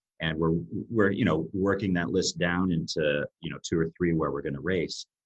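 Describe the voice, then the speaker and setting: At a moderate pace, a man with an American accent talks in a very deep, low voice. His intonation stays fairly even. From United States. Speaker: air race organizer. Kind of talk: interview.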